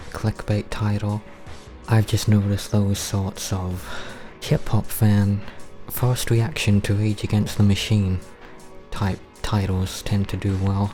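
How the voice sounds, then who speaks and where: A man at a fairly low pitch in a deadpan tone, very slow and monotone with flat intonation, music in the background. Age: 20s. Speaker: gamer. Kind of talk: casual gameplay commentary. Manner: flat, deadpan.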